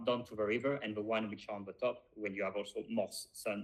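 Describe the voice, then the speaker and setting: A man's fairly low voice with a non-native accent, at a fairly quick pace. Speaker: podcast co-host, wine expert. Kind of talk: casual chat. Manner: halting, many fillers.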